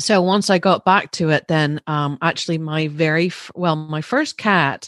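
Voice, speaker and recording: A woman with a Northern Irish accent speaks in an animated tone at a fairly low pitch and a fairly slow pace, recorded dry and close with no echo against a quiet background. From Northern Ireland; Larne, East Antrim. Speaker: pet wellness business owner. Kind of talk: casual interview chat. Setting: video call. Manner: animated, laughs often.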